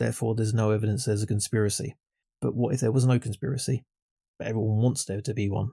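A man speaks at medium pitch in a dark, mellow, somewhat breathy tone with fairly even intonation and a very fast pace. The recording is very clean, with a silent background. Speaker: podcaster. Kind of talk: casual banter.

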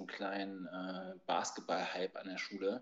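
A man's voice, fairly low in pitch. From Berlin (East). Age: 40s. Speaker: youth basketball coach. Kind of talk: casual chat.

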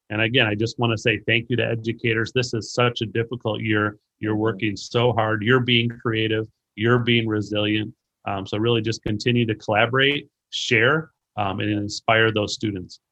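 A man's bright, sharp, medium-pitched voice with an American accent, monotone and flat at a moderate pace. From US Midwest, Racine, Wisconsin. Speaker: education curriculum director and author. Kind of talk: interview about education.

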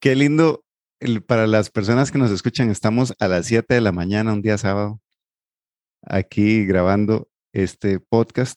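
Recorded dry and close with no echo, a man speaks at a fairly slow pace with very even loudness and ordinary pitch variation. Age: 40s. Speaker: psychologist and financial coach, podcast co-host. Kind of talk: casual chat. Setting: studio recording, 7am on a Saturday.

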